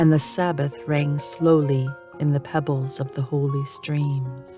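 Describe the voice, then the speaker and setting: A woman's calm tone at a very slow pace, with music in the background. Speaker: narrator. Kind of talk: poetry reading. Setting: home studio. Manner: relaxing, calm.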